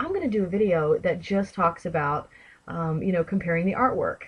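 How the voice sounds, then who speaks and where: Somewhat breathy, a woman with an American accent speaks at a moderate pace. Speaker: tarot video creator. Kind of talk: casual vlog talk. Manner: chatty, with many fillers.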